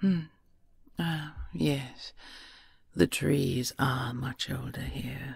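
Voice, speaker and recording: A woman's put-on character voice, very deep and low, at a fairly slow pace. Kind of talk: audio roleplay.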